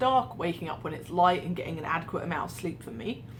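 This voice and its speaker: Audible room echo surrounds a woman speaking with an English accent in a fairly low pitch. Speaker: vlogger. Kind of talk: casual vlog monologue.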